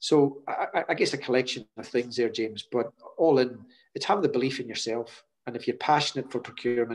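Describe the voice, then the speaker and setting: At a fairly quick pace, a man talks at medium pitch in a Scottish Highlands accent with fairly even intonation. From Scotland, Hebrides. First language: Scottish Gaelic. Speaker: chief procurement officer. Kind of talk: interview. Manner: hesitant, repeats words.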